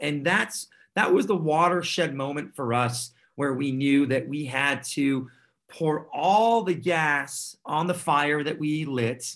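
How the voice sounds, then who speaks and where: A man with a normal speaking voice, fairly high pitch, ordinary pitch variation and a fairly slow pace, against a quiet background. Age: 40s. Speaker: tech startup CEO and founder. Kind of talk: interview.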